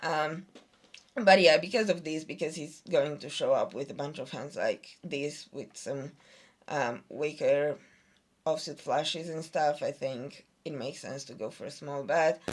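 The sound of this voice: A woman speaks at a fairly slow pace in a low voice. Her pitch rises and falls in an ordinary way.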